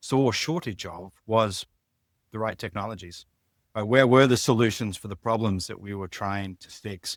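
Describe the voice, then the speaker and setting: With an Australian accent, a man speaks at a moderate pace and fairly low pitch. The sound is dry and close with no echo, in a very clean recording with a silent background. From Australia, outback (Mount Isa). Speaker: biotech business executive. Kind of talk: interview.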